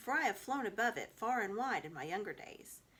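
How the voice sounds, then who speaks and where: A croaky, put-on character voice at a fairly quick pace. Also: female-sounding voice, fairly high pitch for a woman. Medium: read story. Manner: sententious, quotes proverbs.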